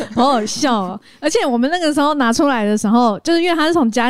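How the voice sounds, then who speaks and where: On a very clean recording with a silent background, a woman speaks very fast in a high voice with very wide pitch swings. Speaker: podcast co-host and live streamer. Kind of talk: casual chat.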